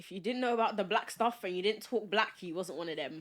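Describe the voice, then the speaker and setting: In a London accent, a woman talks at a fairly quick pace. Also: very clean recording, silent background. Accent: London, Multicultural London English. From South London (Peckham), born in Nigeria. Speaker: podcast guest. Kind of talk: casual chat.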